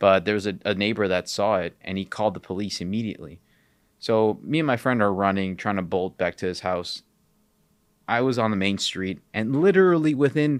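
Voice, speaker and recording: Lively intonation carries this voice in a Chicago accent, on a very clean recording with a silent background. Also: man. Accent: Chicago American English. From Chicago area, US Midwest (born in Peru, moved at four). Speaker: podcast host and gym owner. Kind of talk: personal storytelling. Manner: casual, filler-heavy.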